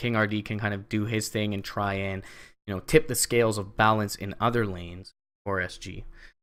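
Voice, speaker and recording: On a very clean recording with a silent background, a man with a strong Canadian accent speaks at a fairly low pitch. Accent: thick Canadian. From Canada. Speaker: esports caster. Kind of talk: live commentary.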